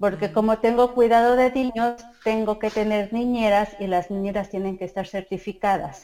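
In a Mexico City accent, a woman speaks with a fairly high pitch, a dark, mellow tone and fairly even intonation. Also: moderate pace, hardly any pauses. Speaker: mother and community group organizer. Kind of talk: interview.

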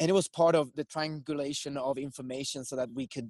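Speaking with a Swedish accent at a moderate pace, a man with a fairly high pitch keeps his intonation fairly even, the sound dry and close with no echo. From Sweden. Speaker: filmmaker. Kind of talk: casual chat.

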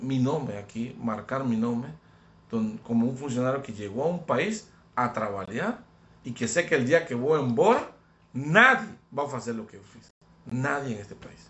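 Speaking with a Spanish accent at a medium pitch, a man talks at a fairly slow pace with lively intonation, long and frequent pauses, and big swings in loudness. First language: Spanish (speaking Portuguese). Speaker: diplomat. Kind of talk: interview.

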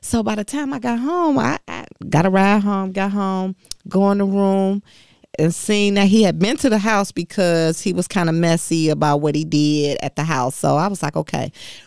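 A woman's unremarkable speaking voice with an American accent, medium in pitch, lively in intonation and moderate in pace, in a very clean recording with a silent background. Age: 40s. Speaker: auto worker and union rep. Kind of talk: interview testimony.

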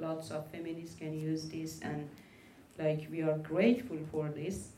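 A woman speaks with a Persian accent at a fairly slow pace. The recording has audible room echo and noticeable background noise. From Iran (Afghan minority family). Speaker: LGBTQI rights activist. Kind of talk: panel discussion.

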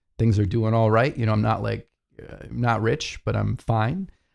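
A man has an unremarkable speaking voice at a medium pitch. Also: very clean recording, silent background. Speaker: podcast co-host. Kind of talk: casual chat.

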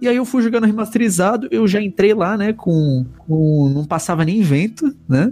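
A man with a dark, mellow tone and high pitch speaks at a moderate pace with very even loudness. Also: lively intonation, hardly any pauses. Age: 20s. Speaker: podcast host. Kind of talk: casual chat.

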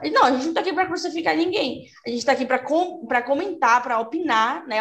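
A woman's voice with lively intonation. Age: 20s. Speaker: journalist and fanfiction author. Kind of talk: casual chat.

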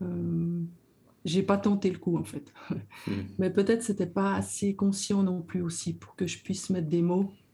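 A woman speaks at a moderate pace and medium pitch with a somewhat breathy, dark, mellow tone, keeping a monotone, flat intonation and taking long, frequent pauses. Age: 60s. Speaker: social educator. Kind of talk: testimony.

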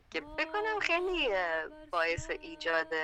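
A woman speaks at a moderate pace in a bright, sharp tone, her pitch swinging very widely. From Iran, Fars province (Mamasani). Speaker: singer and composer. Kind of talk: interview. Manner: halting.

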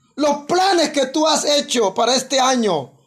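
At a fairly slow pace, a man speaks with an extremely high pitch and ordinary pitch variation. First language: Guna (Kuna) (speaking Spanish). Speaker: pastor. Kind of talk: sermon. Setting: church.

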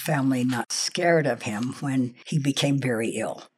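This woman has a very deep, low pitch and a General American accent. She talks at a moderate pace. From Los Angeles area, US. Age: 70s. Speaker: life story interviewee. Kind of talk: casual interview, personal life story. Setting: her home.

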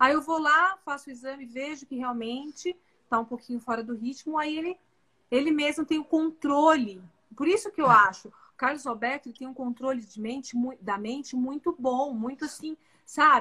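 A woman speaks in a raised, projected voice with a bright, sharp tone and high pitch. Her loudness swings widely while her pitch varies in an ordinary way. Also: moderate pace. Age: 40s. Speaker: physician. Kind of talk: casual chat.

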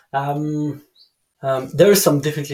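Somewhat breathy, a man speaks with a French accent. His pace is moderate. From France, Dijon. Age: 30s. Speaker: canyoning guide. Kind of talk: casual chat. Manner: halting.

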